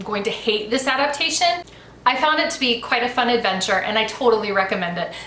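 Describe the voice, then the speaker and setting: A woman with an American accent speaks at a high pitch, with audible room echo and noticeable background noise. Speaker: YouTuber, book and movie reviewer. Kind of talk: casual review monologue. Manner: conversational with fillers.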